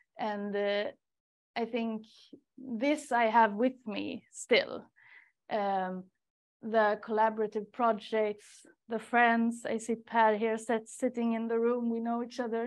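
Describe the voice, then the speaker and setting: Pausing often and at length, a woman with a fairly high pitch speaks at a fairly slow pace against a quiet background. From Sweden, Stockholm. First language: Swedish. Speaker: research coordinator. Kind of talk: webinar talk. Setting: seminar room with audience and online participants. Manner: hesitant, many fillers. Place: meeting room.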